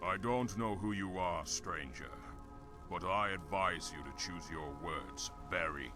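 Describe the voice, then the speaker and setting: Loud music plays in the background as a man speaks at a fairly slow pace in a put-on character voice. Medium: machinima. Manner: curt, guarded.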